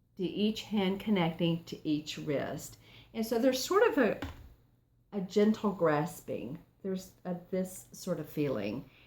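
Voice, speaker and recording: Against noticeable background noise, a woman of medium pitch talks at a fairly slow pace with lively intonation. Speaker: tarot reader. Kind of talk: tarot reading. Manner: softer and calmer; halting.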